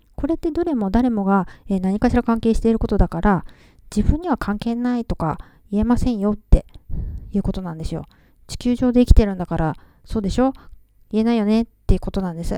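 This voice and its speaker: A woman speaks at a fairly quick pace in a fairly high pitch. Her tone is dark and mellow, with lively intonation. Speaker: podcast host. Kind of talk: casual monologue.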